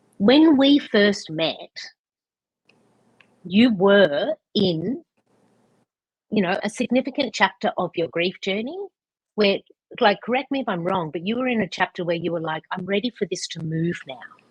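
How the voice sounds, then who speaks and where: This woman talks at a moderate pace and medium pitch, somewhat breathy, with lively intonation, long and frequent pauses, and a dry, close sound with no echo. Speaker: podcast host. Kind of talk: interview question. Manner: casual, conversational.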